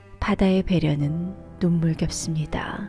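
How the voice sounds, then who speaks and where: Calm, fairly low woman's voice at a very slow pace, fairly even in intonation, with music in the background. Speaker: audiobook narrator. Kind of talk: literary prose reading.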